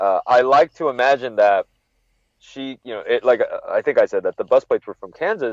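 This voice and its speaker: A man speaks with a Californian accent at a fairly quick pace, his loudness swinging widely. The sound is dry and close with no echo, over a quiet background. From Northern California (Monterey). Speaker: wrestling podcaster. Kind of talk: casual chat.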